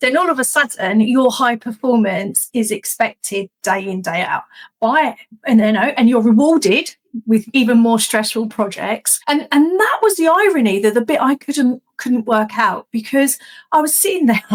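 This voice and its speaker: Her intonation lively, a woman speaks at a high pitch and a moderate pace. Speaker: executive resilience coach. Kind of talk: interview conversation. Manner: animated.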